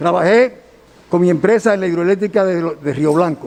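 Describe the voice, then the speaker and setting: A man with a Dominican accent talks at a fairly quick pace in a high pitch with ordinary pitch variation, over noticeable background noise. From Dominican Republic, Santiago. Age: 70s. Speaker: engineer, defendant in court hearing. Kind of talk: court testimony. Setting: courtroom hearing.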